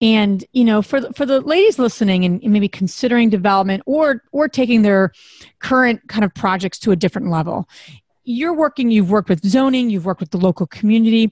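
A woman, somewhat breathy, talks at a fairly quick pace in a very clean recording with a silent background and a dry, close sound with no echo. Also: fairly high pitch for a woman, lively intonation. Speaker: podcast co-host. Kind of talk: casual interview.

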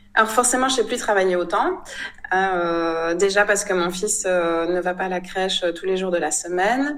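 Pitch rises and falls in an ordinary way. Delivery keeps a moderate pace. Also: woman, medium pitch for a woman. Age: 30s. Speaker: photographer. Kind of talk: interview. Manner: hesitant, many fillers.

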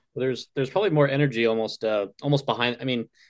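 A man speaks very fast, his pitch varying in an ordinary way, with a quiet background. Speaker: podcast co-host. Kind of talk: casual interview.

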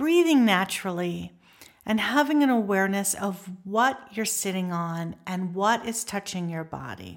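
An unremarkable speaking voice with lively intonation, at a fairly slow pace. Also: woman. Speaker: meditation teacher and wellness center founder. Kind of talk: guided meditation with breathing instruction. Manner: slow, soothing pace with gentle repeated cues; calm, nurturing, softly encouraging.

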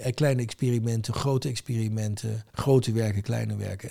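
A man with a fairly low pitch speaks at a fairly quick pace. His tone is dark and mellow, and somewhat breathy. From Rotterdam, Netherlands. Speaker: trade association chairman. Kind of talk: casual interview.

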